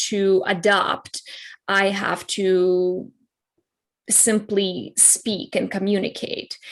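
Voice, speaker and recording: Against a quiet background, a woman with a non-native accent speaks very slowly. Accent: foreign. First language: not English (English her third language). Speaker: clarity coach, keynote speaker. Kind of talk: interview. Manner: halting.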